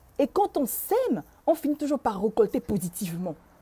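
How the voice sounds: The voice has a dark, mellow tone with a husky, rough edge. It moves at a fairly quick pace with big pitch swings. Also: woman, fairly high pitch for a woman.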